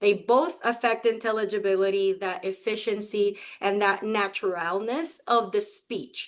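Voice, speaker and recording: With a Spanish accent, a woman talks at a fairly slow pace and medium pitch, with ordinary pitch variation, hardly any pauses, and a quiet background. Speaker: professor. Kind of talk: lecture. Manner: hesitant, many fillers.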